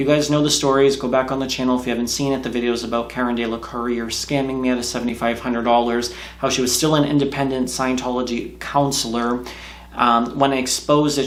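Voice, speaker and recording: With audible room echo and noticeable background noise, a man of medium pitch talks very fast in a flat monotone. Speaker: YouTuber, ex-Scientologist. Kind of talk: casual vlog monologue.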